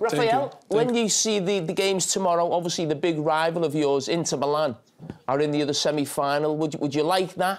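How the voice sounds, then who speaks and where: A man with a Liverpool accent at a fairly quick pace, ordinary pitch variation, and a quiet background. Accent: Scouse (Liverpool). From Liverpool, England. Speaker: football pundit. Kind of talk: TV studio interview question. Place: studio. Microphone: lapel.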